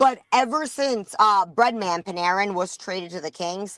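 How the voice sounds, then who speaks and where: Against a quiet background, a woman with a New York accent speaks at a medium pitch in an animated, bright, sharp tone. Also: dry, close sound with no echo. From New York, Rockaway Beach, Queens. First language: not English. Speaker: sports podcast guest, independent journalist. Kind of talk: casual chat.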